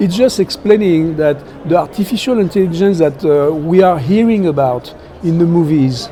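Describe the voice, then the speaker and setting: A man with a French accent speaks at a moderate pace and a high pitch. His pitch varies in an ordinary way, over noticeable background noise. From France. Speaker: technology executive. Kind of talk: interview. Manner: hesitant, many fillers.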